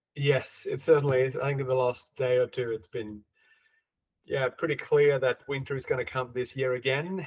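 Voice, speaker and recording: A man talks at a moderate pace in a somewhat breathy, medium-pitched voice with fairly even intonation. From Sweden. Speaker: podcast host, consultant. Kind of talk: podcast interview. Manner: halting, repeats words.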